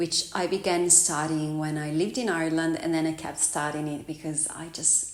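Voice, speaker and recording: Heard over noticeable background noise with audible room echo, a woman speaks at a fairly low pitch. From Italy. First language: Italian. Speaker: vlogger and yoga teacher. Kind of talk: casual vlog introduction.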